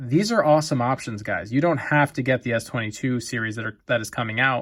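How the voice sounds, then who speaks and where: In a very clean recording with a silent background, a man talks at a fairly quick pace with ordinary pitch variation in an unremarkable speaking voice. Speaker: tech reviewer. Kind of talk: product review video. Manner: casual, many fillers.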